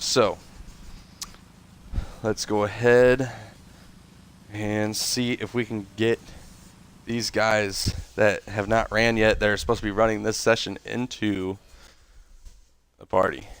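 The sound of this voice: This man talks at a slow pace with long, frequent pauses, his fairly low, nasal voice showing little pitch movement and having both a fairly bright tone and a clear, smooth tone.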